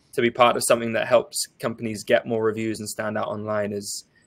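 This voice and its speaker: Recorded with a dry, close sound and no echo, a man with an English accent speaks at a very fast pace. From England. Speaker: partnerships manager at a software company. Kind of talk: live webinar panel discussion. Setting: live stream webinar.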